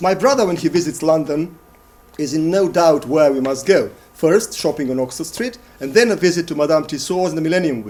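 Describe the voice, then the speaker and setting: The man talks at a fairly quick pace in a fairly high voice, his intonation lively. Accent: Macedonian. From Macedonia (former Yugoslavia). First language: Macedonian. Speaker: playwright and lecturer. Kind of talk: performance lecture.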